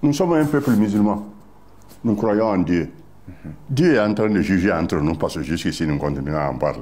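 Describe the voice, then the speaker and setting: With vocal fry and a dark, mellow tone, a man speaks at a moderate pace, his pitch swinging very widely amid audible room echo. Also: fairly low pitch for a man. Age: 80s+. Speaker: former party official, political veteran. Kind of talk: interview. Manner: halting, with repetitions.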